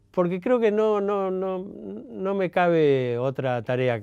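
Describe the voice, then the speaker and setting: A man speaks very slowly in a Rioplatense accent. His tone is dark and mellow, with lively intonation. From Argentina, Buenos Aires. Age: 70s. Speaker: journalist and writer. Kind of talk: interview monologue. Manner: halting, many fillers.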